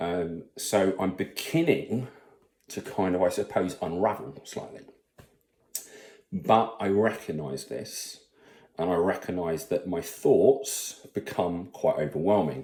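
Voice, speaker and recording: Speaking at a very slow pace, a man with a British accent has a very deep, low pitch, a dark, mellow tone and lively intonation. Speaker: salesperson and father vlogger. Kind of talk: personal vlog monologue. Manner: halting, many fillers.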